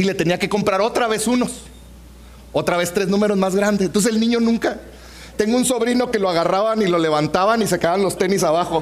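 A man with a high voice talks very fast in an animated tone, with noticeable background noise and audible room echo. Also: very even loudness. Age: 40s. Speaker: pastor. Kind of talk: sermon.

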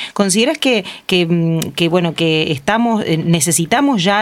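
A woman speaks in an unremarkable speaking voice. Her pitch variation is ordinary. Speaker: radio host. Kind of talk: interview; formal introduction.

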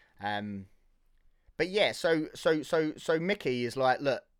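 A man speaks at a fairly slow pace in a southern English accent, his pitch fairly high with very wide swings. The recording is very clean, with a silent background. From Hertfordshire, England. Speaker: film podcaster and background actor. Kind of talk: casual solo podcast film review. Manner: halting, many fillers and repetitions.

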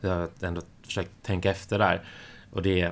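Monotone, flat intonation in a man's very deep, low-pitched voice. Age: 40s. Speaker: podcast co-host. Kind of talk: casual chat.

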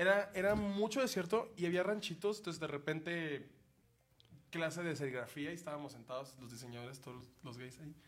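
A man speaks in a plain, everyday voice, fairly high-pitched for a man, at a fairly quick pace with lively intonation and big swings in loudness. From Mexico, Sonora (Hermosillo). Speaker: comedian. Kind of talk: casual chat.

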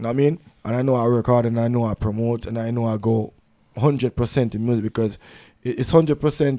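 Over a very clean, silent background, a man with a dark, mellow tone and fairly even intonation speaks at a fairly quick pace, with long, frequent pauses. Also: dry, close sound with no echo. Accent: Jamaican. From Jamaica. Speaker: dancehall artist. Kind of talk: casual interview. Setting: studio.

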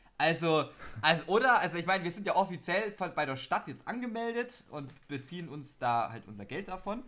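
Talking at a fairly quick pace, a man with a high pitch makes very wide pitch swings and big swings in loudness. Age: young. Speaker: podcast co-host. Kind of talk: casual chat.

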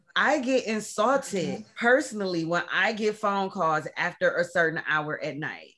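A woman's medium-pitched voice, bright and sharp in tone, with lively intonation at a fairly slow pace. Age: 40s. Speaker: podcast host. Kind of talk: casual chat.

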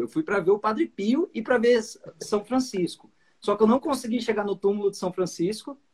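A man's high-pitched voice with lively intonation at a moderate pace, dry and close with no echo. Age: 30s. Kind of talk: lecture. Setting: video call.

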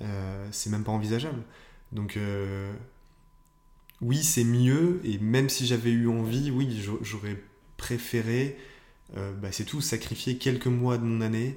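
In a room with audible echo, a man with a medium pitch and a dark, mellow tone speaks very slowly with ordinary pitch variation and long, frequent pauses. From northern France (Nord, near Lille). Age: 20s. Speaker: entrepreneur. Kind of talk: interview. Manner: hesitant, many fillers.

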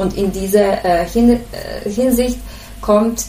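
With a Bosnian accent, a woman speaks at a fairly slow pace and medium pitch with fairly even intonation, amid audible room echo and noticeable background noise. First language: Bosnian (speaking German). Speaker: head nurse. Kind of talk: interview. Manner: hesitant, many fillers.

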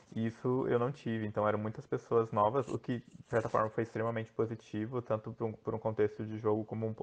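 A man speaks at a fairly low pitch and a fairly quick pace. His intonation is flat and monotone. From Brazil, Joinville, Santa Catarina. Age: 20s. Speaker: online game contestant. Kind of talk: casual interview.

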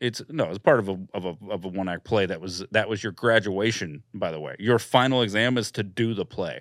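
A man with an American accent and a plain, everyday voice, fairly low in pitch with ordinary pitch variation, at a fairly quick pace with hardly any pauses. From Florida, Daytona Beach. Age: 30s. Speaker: comedian. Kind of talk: casual chat.

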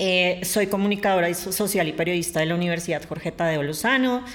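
A woman's voice over noticeable background noise. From Colombia, Bogotá. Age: 30s. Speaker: adult content creator and journalist. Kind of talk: interview.

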